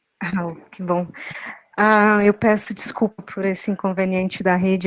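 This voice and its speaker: Her pitch is medium and her pace moderate, with monotone, flat intonation. The woman's sound is dry and close, with no echo. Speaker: political candidate. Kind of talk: candidate self-introduction.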